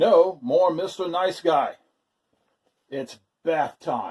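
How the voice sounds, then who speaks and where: Pitching his voice high, a man performs a put-on character voice. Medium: read story.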